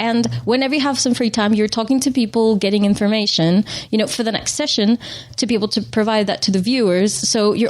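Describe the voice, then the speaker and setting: Over noticeable background noise, a woman with a French accent talks at a fairly quick pace, with fairly even intonation and very even loudness. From Switzerland, French-speaking, Spanish parents. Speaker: motorsport press officer and TV presenter. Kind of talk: casual interview.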